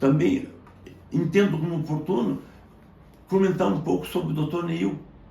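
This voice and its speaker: This man's voice sits fairly high in pitch, with a dark, mellow tone, vocal fry and lively intonation. He goes at a moderate pace, and room echo is audible. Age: 70s. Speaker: medical doctor. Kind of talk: educational monologue. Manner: formal.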